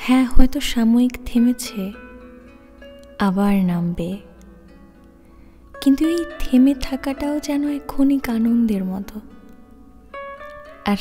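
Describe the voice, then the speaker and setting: Soft-spoken, a woman talks in a calm tone with ordinary pitch variation and big swings in loudness. Music plays in the background. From Bengali-speaking. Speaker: ASMR reader. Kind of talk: soft-spoken ASMR book reading. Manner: calm, soft.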